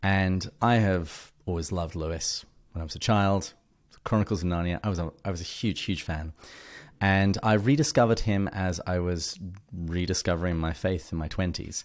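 In a very clean recording over a silent background, a man with a very deep, low voice talks at a moderate pace with ordinary pitch variation. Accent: English. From England. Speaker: podcast host on an author, guest expert. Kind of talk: casual interview conversation.

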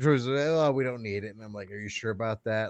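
A normal speaking voice, with an American accent and lively intonation, moves at a fairly quick pace over a quiet background. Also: man. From Oklahoma. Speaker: podcast co-host. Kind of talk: casual chat.

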